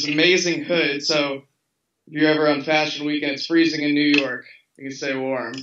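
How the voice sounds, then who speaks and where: With an American accent and a fairly high pitch, a man talks at a fairly quick pace in a monotone, flat intonation amid noticeable background noise. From Louisville, Kentucky, USA; Kentucky. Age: 20s. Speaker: fashion model. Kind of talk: interview answer. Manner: casual, relaxed. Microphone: video call.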